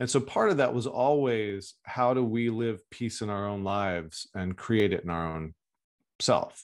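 An unremarkable speaking voice from a man, medium in pitch with ordinary pitch variation, at a fairly slow pace against a quiet background. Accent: American. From Texas. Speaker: health coach and author. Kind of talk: interview.

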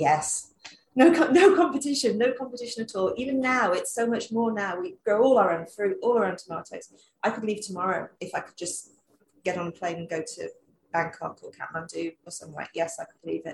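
With a London accent, a woman speaks at a fairly quick pace in a somewhat breathy voice, her pitch swinging very widely and her loudness varying a lot. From London, England. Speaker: travel blogger. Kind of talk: casual interview chat.

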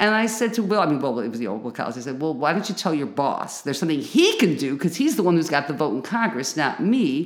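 A woman's fairly low voice with an American accent, very fast with hardly any pauses, swinging very widely in pitch, in audible room echo. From Chicago. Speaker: local activist and tenant union leader. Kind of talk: interview.

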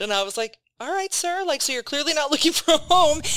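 Speaking with an American accent, a woman talks at a high pitch. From Wisconsin. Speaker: podcast host. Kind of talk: casual chat podcast.

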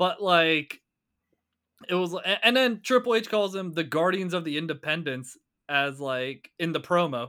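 At a moderate pace, a man speaks in a high, bright, sharp voice with lively intonation. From Pittsburgh. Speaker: podcast co-host. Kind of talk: casual chat.

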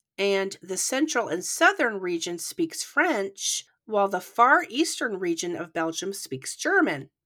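Speaking at a fairly slow pace with hardly any pauses, a woman's bright, sharp voice makes very wide pitch swings. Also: medium pitch for a woman. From Canada. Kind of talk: scripted true crime narration; casual chat. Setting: remote recording across countries.

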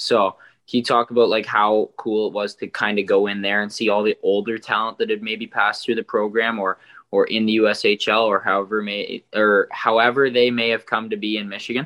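A man speaks at a fairly quick pace and fairly low pitch. His tone is bright and sharp, with little pitch movement.

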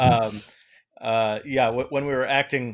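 Against a quiet background, a man speaks in a normal speaking voice. His pitch is medium, with fairly even intonation. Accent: American. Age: 40s. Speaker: independent filmmaker. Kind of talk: interview.

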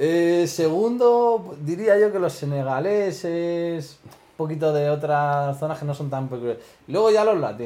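Speaking fairly slowly with hardly any pauses, a man uses a fairly high voice with a dark, mellow tone and big swings in loudness. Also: lively intonation. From Spain, Madrid. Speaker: stand-up comedian. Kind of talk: casual chat.

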